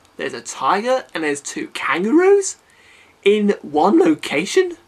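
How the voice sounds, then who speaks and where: Noticeable background noise sits behind the recording. A man speaks at a fairly slow pace. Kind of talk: improvised film commentary talk. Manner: hesitant, with pauses and filler sounds.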